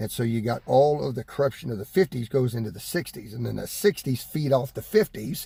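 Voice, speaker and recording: With an American accent, a man speaks at a fairly quick pace with a medium pitch, a dark, mellow tone, a somewhat breathy quality and big swings in loudness, in a dry, close sound with no echo. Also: lively intonation. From Texas. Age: 60s. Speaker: preacher. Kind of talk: sermon. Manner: halting, with repetitions.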